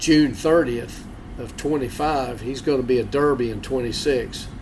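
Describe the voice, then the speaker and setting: Through audible room echo, a man speaks at a moderate pace and medium pitch with fairly even intonation. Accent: North Carolina. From North Carolina (Statesville). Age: 60s. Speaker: beagle houndsman. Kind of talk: interview.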